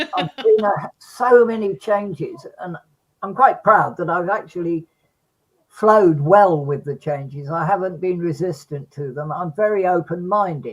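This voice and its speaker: This man's pitch is high and his intonation lively. He speaks at a fairly slow pace. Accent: English. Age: 80s+. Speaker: bereaved father and campaigner. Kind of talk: interview.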